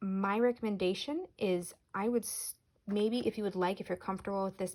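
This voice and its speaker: A woman in a plain, everyday voice at a moderate pace, with ordinary pitch variation. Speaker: Montessori teacher. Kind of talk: tutorial. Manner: warm, encouraging.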